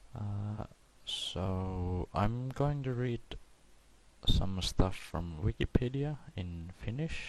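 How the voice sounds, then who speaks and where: Speaking at a very slow pace, a man with a fairly low pitch shows big swings in loudness. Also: lively intonation. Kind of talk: casual intro to camera. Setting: cheap home microphone. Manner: soft-spoken.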